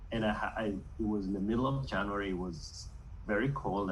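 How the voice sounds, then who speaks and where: A man with a Kenyan accent talks at a moderate pace, and the room gives off an audible echo. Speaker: university staff member. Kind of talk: interview. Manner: halting.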